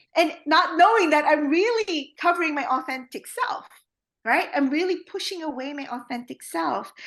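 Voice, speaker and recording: With a Filipino accent, a woman speaks at a moderate pace in an extremely high pitch, her bright, sharp tone moving through very wide pitch swings. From Philippines. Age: 40s. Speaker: trauma therapist. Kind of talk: podcast interview. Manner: many fillers, halting.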